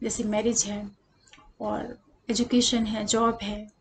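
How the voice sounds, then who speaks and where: A woman speaks in a soft-spoken way. Her pitch is fairly high. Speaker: astrologer. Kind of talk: tutorial. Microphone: voice too quiet, no external mic.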